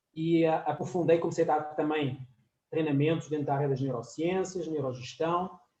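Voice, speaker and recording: Audible room echo surrounds a man whose fairly high voice has a dark, mellow tone. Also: fairly even intonation, moderate pace. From France and Portugal. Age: 40s. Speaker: professor. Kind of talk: lecture.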